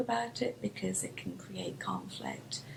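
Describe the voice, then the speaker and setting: Someone with a British accent speaks at a fairly slow pace over noticeable background noise. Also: woman. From United Kingdom. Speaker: professor. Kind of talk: panel discussion. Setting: public library town hall with audience.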